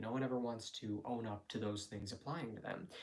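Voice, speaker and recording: A man speaks at a medium pitch and a fairly quick pace. His intonation stays fairly even. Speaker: vlogger / live streamer. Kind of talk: casual monologue live stream. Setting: live stream. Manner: fast; rambling, halting with fillers.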